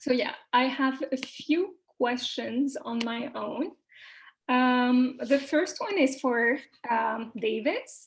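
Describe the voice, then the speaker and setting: This woman has a Quebec accent and a high pitch. She speaks at a very slow pace. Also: ordinary pitch variation. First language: French. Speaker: panel moderator. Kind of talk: moderating panel Q&A. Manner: hesitant, many fillers.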